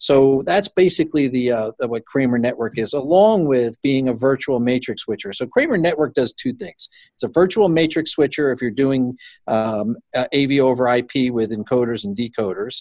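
A man with medium pitch and ordinary pitch variation speaks at a moderate pace in an ordinary speaking voice. The sound is dry and close with no echo. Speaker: company CEO. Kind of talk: business interview.

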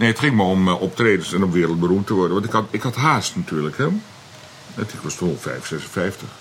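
A man speaks with a very deep, low pitch. His intonation is lively and his pace moderate. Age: 60s. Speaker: comedian. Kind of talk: casual chat. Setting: outdoors.

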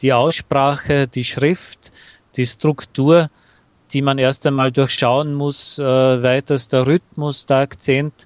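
Recorded dry and close with no echo, a man with an Austrian accent talks at a very slow pace, medium in pitch, with fairly even intonation. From Austria, Bavarian-Austrian dialect area. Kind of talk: casual interview conversation. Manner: hesitant with fillers.

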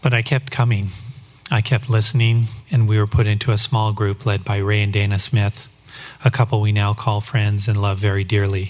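A man with an American accent speaks at a moderate pace in a fairly low, somewhat breathy voice. His intonation is fairly even and his loudness very even. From Colorado, US. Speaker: church member sharing testimony. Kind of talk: testimony. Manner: read from script.

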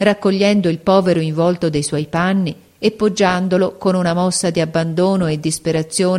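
Fairly even intonation in plain reading aloud

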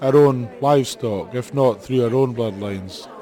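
Over noticeable background noise, a man in a Highland Scottish accent speaks at a fairly slow pace, medium pitch and ordinary pitch variation. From Scottish Highlands, Badenoch. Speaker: pony breeder. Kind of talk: interview.

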